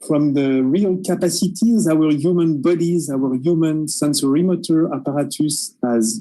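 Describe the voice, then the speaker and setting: Someone with a French accent talks at a moderate pace, hardly pausing at all. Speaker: researcher. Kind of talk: panel discussion. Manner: hesitant.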